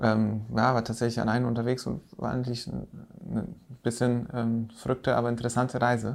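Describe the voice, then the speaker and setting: An unremarkable speaking voice from a man, medium in pitch, moderately paced, with fairly even intonation. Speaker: podcast host, landscape architect. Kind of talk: casual chat.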